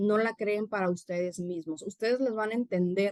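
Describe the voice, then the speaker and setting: A woman at a medium pitch and a moderate pace, in a dry, close sound with no echo. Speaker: university professor and conference speaker. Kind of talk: conference talk. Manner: animated.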